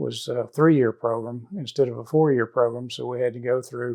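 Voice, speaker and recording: This voice has a dark, mellow tone and fairly even intonation, moving at a fairly slow pace. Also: man. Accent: American. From northeast Texas (Paris). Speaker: veterinarian. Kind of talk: personal life story interview. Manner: halting, many fillers.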